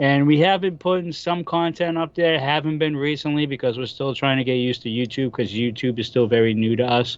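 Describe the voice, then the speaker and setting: Talking at a fairly quick pace with hardly any pauses, a man in a Boston accent holds a fairly high pitch with ordinary variation. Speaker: wrestling podcaster. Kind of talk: casual chat.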